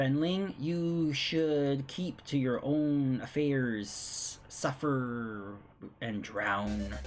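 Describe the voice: A man puts on a character voice that is raspy and hissing, with a medium pitch and a very slow pace, while music plays in the background.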